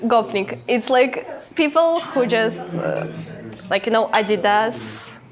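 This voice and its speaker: Against noticeable background noise, a woman talks at a very slow pace, her fairly high voice rising and falling with lively intonation. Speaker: video blogger. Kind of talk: casual interview. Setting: restaurant. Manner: halting.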